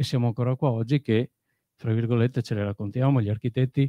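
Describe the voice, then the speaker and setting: The tone is dark and mellow at a fairly quick pace. The background stays quiet. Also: man, dry sound with no echo. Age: 40s. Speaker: audience member. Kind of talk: audience question. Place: hall.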